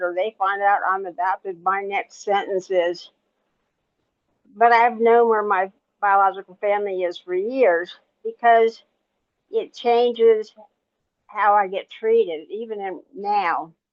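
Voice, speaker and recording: A woman with a medium-pitched voice talks at a fairly slow pace, with fairly even intonation and long, frequent pauses. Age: 60s. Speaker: writer and adoptee. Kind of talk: panel discussion. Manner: halting.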